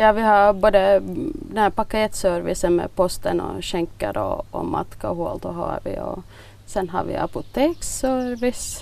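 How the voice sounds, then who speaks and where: A woman speaks at a fairly slow pace. Her loudness swings widely. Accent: Finland-Swedish. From Finland, Swedish-speaking Nyland (Bromarv). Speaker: village shop owner. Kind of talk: interview.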